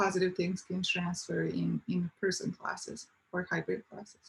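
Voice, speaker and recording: This woman talks at a moderate speed. Her voice sits at a medium pitch. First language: not English. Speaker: university student panelist. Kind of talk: panel discussion.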